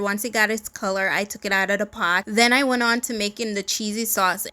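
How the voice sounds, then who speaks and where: A woman speaks at a moderate pace with a bright, sharp tone. Her pitch is fairly high, with ordinary variation. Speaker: lifestyle vlogger. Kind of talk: casual vlog voice-over. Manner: speaking without her usual accent.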